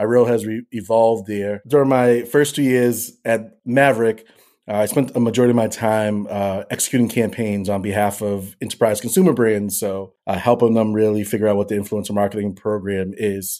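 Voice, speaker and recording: In a very clean recording with a silent background, a man with an American accent and a dark, mellow tone speaks fairly quickly with hardly any pauses, his fairly low pitch following a fairly even intonation. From Boston, Massachusetts. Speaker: influencer marketing director. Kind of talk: interview.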